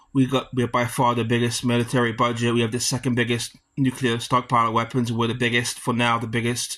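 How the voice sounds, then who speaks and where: A man's bright, sharp voice in a British accent, monotone and flat, over a quiet background. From UK. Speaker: student. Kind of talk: class debate presentation. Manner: halting.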